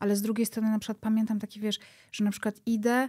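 A woman speaks with monotone, flat intonation in a dark, mellow tone. The background is quiet. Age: 30s. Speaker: podcast creator. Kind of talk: interview conversation. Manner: halting. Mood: reflective, personal, candid. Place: studio. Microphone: studio mic.

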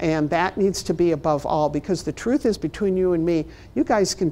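In a Chicago accent, a woman talks at a fairly quick pace with a dark, mellow tone. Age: 60s. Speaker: library management trainer and consultant; presenter. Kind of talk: workshop presentation. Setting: stage with audience, also streamed online. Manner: humorous, conversational. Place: meeting room.

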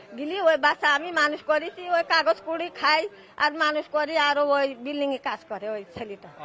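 A woman projects a raised, high, bright and sharp voice with ordinary pitch variation. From Bangladesh. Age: old. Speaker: undocumented migrant interviewee. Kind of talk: street interview.

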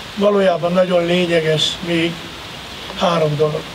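Over noticeable background noise, a man with a high pitch speaks in a monotone, flat intonation. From Hungary. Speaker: university rector and former Olympian; speaker. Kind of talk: ceremonial speech. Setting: outdoors. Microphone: podium.

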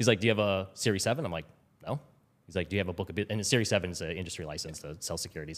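A man with a very deep, low voice talks at a very fast pace. His pitch varies in an ordinary way. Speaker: former Wall Street trader. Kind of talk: casual interview. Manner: repeats words when starting sentences. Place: studio. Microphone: studio mic.

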